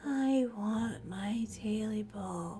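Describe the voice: A hoarse, croaky, put-on character voice, female-sounding and fairly high in pitch, with clear background noise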